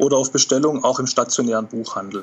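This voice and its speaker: A man talks at a fairly quick pace at a medium pitch. He has an ordinary speaking voice with fairly even intonation. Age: 40s. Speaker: author and football fan. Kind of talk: casual interview.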